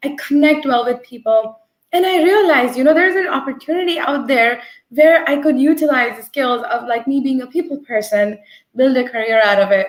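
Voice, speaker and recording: Speaking fairly quickly in a New Jersey accent, a woman uses a high pitch and lively intonation. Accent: American English, New Jersey. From New Jersey, US (born in India). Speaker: agile coach. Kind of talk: interview. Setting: video call.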